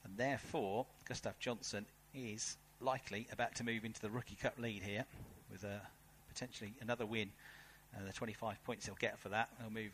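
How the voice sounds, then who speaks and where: A man's fairly low-pitched voice with a British accent. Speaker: race commentator. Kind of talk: live race commentary. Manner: animated, fast-paced.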